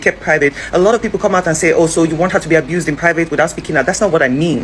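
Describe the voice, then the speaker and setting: A woman with a fairly low pitch talks at a very fast pace in an animated tone, her pitch varying in an ordinary way over noticeable background noise. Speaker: social commentary vlogger. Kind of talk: opinion vlog commentary.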